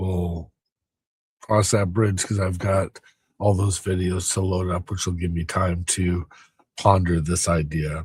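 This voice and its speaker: Fairly slow speech from a man, somewhat breathy. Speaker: delivery driver and video creator. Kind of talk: casual vlog monologue. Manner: hesitant, many fillers.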